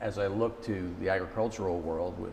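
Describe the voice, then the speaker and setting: Someone with a New Jersey accent talks at a moderate pace with fairly even intonation, with audible room echo around the voice. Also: man. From US Northeast, Jersey City, New Jersey. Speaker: company executive. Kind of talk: interview.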